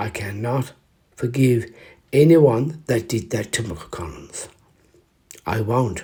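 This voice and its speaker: Very slow and marked by long, frequent pauses, a man's somewhat breathy voice has a dark, mellow tone at medium pitch. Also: ordinary pitch variation. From Ireland. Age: 40s. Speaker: actor. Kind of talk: spoken history piece to camera. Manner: emotional, hesitant.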